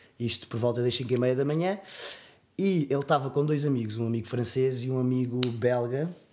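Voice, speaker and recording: Here a man talks at a fairly quick pace. His pitch is medium with ordinary variation. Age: 20s. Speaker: clothing brand owner. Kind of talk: personal testimony in casual interview. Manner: halting, many fillers.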